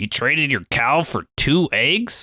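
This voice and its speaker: A man's put-on character voice, fairly high in pitch and fairly slow, in a dry, close recording that is very clean with a silent background. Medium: read story.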